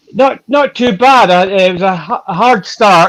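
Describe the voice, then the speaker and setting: This man has a slight Scottish accent and ordinary pitch variation. He talks at a fairly slow pace. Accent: Scottish, mild. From Scotland, West Coast. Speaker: ultra-distance cyclist. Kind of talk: interview.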